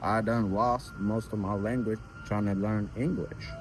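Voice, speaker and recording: A man's fairly low voice at a moderate pace. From Ethiopia, raised in US from about age 11. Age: 20s. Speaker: interviewee on street interview channel. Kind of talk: casual interview.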